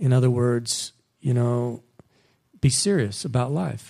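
A man talks at a fairly slow pace in a dark, mellow tone. His pitch is medium, with ordinary variation. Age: 50s. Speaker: missionary. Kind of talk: sermon.

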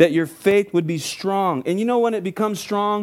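Music plays in the background behind a man. His high voice has an animated tone. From California (Oxnard area), Mexican-American family. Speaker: guest preacher. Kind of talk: sermon. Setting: church with congregation.

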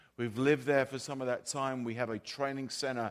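A man talks in a plain, everyday voice at a medium pitch with fairly even intonation. The recording is very clean, with a silent background. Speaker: visiting pastor. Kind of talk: sermon. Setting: church with audience.

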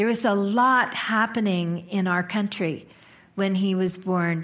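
A woman with a plain, everyday voice speaks in an American accent, at medium pitch, with ordinary pitch variation and a fairly slow pace. The recording is very clean, with a silent background. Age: 50s. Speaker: minister. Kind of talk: sermon. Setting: church.

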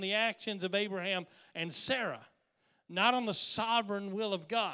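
A high-pitched man speaks at a moderate pace in a raised, projected voice with a bright, sharp tone. The recording is very clean, with a silent background. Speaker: pastor. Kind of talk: sermon.

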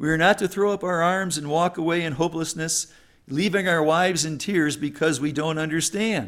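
A man speaks at a high pitch with fairly even intonation, on a very clean recording with a silent background. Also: moderate pace. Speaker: Sunday school teacher, retired teacher. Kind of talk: Bible lesson. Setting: church class with audience. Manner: intense.

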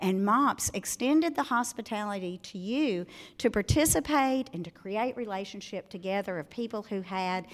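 On a very clean recording with a silent background, a woman with a Southern US accent speaks with very wide pitch swings. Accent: Southern US, noticeable. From Arkansas, US South. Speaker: speaker at a women's event. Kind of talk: talk to a live audience. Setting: live event with audience. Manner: warm, cheerful, friendly.

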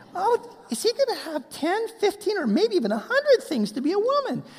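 A female-sounding put-on character voice goes extremely high in pitch for a woman. The pace is moderate, with light background noise. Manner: mocking, joking.

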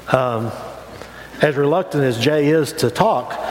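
A man talks in a fairly high voice with ordinary pitch variation. Noticeable background noise runs underneath. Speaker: pastor. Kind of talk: sermon. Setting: church. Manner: hesitant, many fillers and repetitions.

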